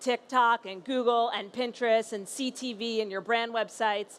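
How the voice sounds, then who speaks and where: Her pitch is fairly high, with ordinary pitch variation. This woman speaks with a New York accent. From US Northeast, New York. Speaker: company founder and CEO. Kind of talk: conference panel presentation.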